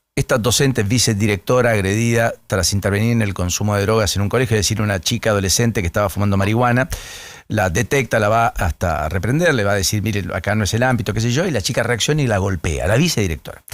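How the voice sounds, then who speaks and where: A man with a fairly low pitch speaks very fast at a very even loudness, in a very clean recording with a silent background. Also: ordinary pitch variation. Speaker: radio host. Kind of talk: morning radio interview.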